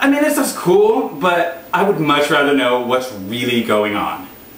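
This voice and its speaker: A man speaks in an upbeat, animated tone with very wide pitch swings, audible room echo, and light background noise. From US. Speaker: travel show host, comedian. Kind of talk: scripted-style pitch introducing a travel show, comedic monologue. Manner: upbeat, animated, cheerful, salesy. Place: home room.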